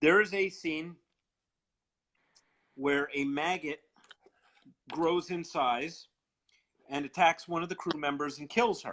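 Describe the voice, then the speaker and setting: A bright, sharp voice with a Long Island accent, at a fairly slow pace with long, frequent pauses. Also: man. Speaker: horror fan co-host. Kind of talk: casual chat on live video stream. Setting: live video chat.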